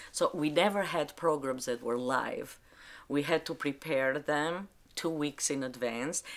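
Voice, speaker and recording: A woman with an Albanian accent, a very deep, low pitch and a fairly slow pace, in a very clean recording with a silent background. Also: ordinary pitch variation. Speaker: librarian. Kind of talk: interview testimony. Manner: halting.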